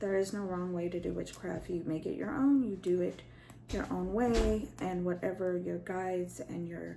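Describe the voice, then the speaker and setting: A woman speaks at a moderate pace with a medium pitch and ordinary pitch variation. Audible room echo surrounds her voice. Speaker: spiritual practitioner and video host. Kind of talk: tutorial. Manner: casual, hesitant with fillers.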